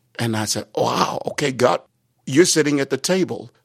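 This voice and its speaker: A man with a medium pitch uses a plain, everyday voice, speaking at a fairly slow pace with lively intonation. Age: 60s. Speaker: pastor. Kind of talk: interview.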